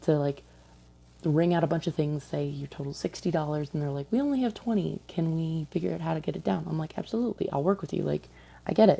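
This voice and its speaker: Soft-spoken and somewhat breathy, a woman talks at a very fast pace in a very deep, low voice with a dark, mellow tone. Her recording is very clean, with a silent background. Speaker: vlogger, retail store employee. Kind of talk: casual vlog storytelling. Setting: at home late at night. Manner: quiet, talking softly.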